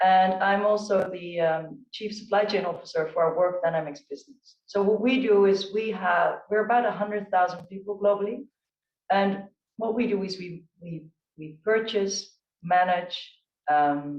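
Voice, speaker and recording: The speaker talks at a moderate pace with a Dutch accent. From Netherlands. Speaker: chief procurement officer on a panel. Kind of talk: panel discussion.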